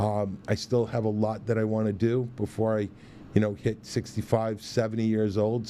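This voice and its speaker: Here a man speaks at a fairly low pitch and a moderate pace. His tone is dark and mellow. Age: 60s. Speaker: chef and restaurant owner. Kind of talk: interview.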